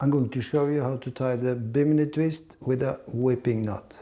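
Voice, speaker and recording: With a non-native accent, a man speaks at a fairly slow pace and medium pitch. His intonation is fairly even, and his tone is dark and mellow. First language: not English. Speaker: fly fishing instructor. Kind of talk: tutorial. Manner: halting, with fillers.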